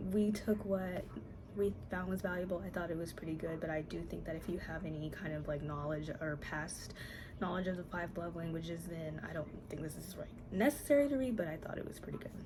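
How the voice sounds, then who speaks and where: Whispering at a fairly quick pace, a woman is heard with audible room echo. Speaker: book video creator. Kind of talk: casual vlog talk. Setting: at home. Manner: hesitant with fillers.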